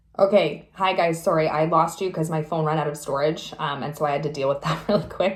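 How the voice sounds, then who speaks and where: Speaking at a fairly quick pace with hardly any pauses, a woman uses a very deep, low pitch and fairly even intonation. Audible room echo surrounds her voice. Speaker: spiritual tarot reader. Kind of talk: tarot reading monologue. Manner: halting, many fillers.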